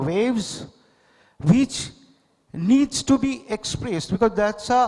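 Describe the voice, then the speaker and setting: This man's voice is high-pitched for a man, with ordinary pitch variation and a Bengali accent. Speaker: poet and painter. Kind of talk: literary festival dialogue. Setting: stage with audience. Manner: halting, with many fillers.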